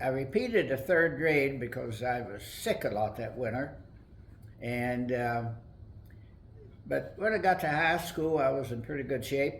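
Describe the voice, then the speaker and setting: A man with an American accent speaks at a fairly slow pace, somewhat breathy. Long, frequent pauses break up his speech, and the room echo is audible. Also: medium pitch for a man. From West Virginia, Webster Springs. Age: 80s+. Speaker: retired library director. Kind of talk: oral history interview.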